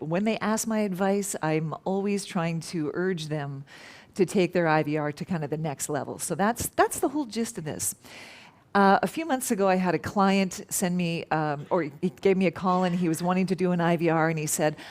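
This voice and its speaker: Fairly low pitch from a woman, an ordinary speaking voice, ordinary pitch variation at a moderate pace, very clean recording with a silent background. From Canada. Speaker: professional telephone voice. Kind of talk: conference talk.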